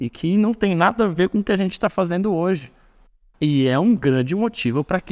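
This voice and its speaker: A man's voice makes very wide pitch swings in a dry, close sound with no echo, on a very clean recording with a silent background. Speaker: university course coordinator, former student racing team member. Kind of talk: casual interview.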